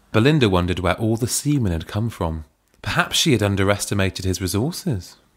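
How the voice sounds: The reading voice sounds natural, and its intonation is lively. Little else can be heard behind it.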